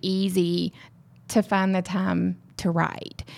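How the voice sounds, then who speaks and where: A woman speaks in a Southern US accent at a very slow pace. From Mississippi. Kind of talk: casual chat.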